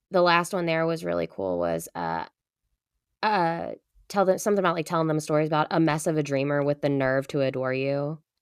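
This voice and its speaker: Against a quiet background, a woman with a very deep, low pitch talks at a fairly quick pace, animated in tone with ordinary pitch variation. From Kentucky. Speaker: university professor, co-host. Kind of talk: casual chat.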